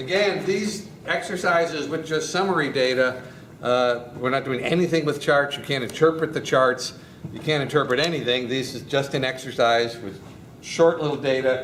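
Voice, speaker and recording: Amid audible room echo and noticeable background noise, a man talks at a moderate pace, his fairly high voice showing ordinary pitch variation. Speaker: university professor. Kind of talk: lecture. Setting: classroom.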